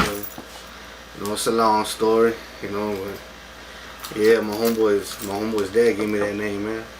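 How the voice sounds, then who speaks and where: In a South Texas accent, a man of medium pitch speaks at a fairly slow pace, with audible room echo and noticeable background noise. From Texas, Taft near Corpus Christi. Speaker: rapper. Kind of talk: casual interview.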